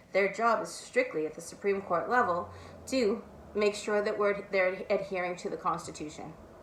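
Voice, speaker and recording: Amid noticeable background noise, a woman with a medium-pitched voice talks at a moderate pace. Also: fairly even intonation. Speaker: political commentator. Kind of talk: casual talk. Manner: soft-spoken.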